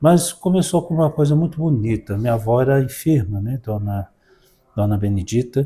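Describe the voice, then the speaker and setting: A man's somewhat breathy voice, dark and mellow in tone, medium in pitch, at a moderate pace with lively intonation. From Brazil, Minas Gerais (Belo Horizonte, Sabará). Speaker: parish priest. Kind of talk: interview about life story.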